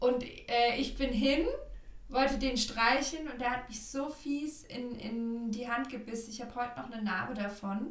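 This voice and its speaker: Speech at a moderate pace with fairly even intonation, audible room echo, and noticeable background noise. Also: woman, high pitch for a woman. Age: 30s. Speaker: astrologer. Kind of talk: casual chat.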